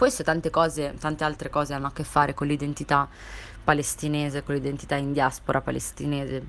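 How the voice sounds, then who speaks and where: This woman's voice is very deep and low, with vocal fry. She talks at a fairly quick pace in a monotone, flat intonation. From Italy, Palestinian family. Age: 20s. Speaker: activist. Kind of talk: testimony. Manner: halting, many fillers.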